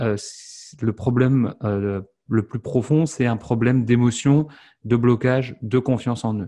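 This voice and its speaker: At a very slow pace, a man speaks in a dark, mellow tone over a quiet background. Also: ordinary pitch variation. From France. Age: 30s. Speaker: online entrepreneur and French teacher; French teacher. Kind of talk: interview. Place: home room. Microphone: studio mic.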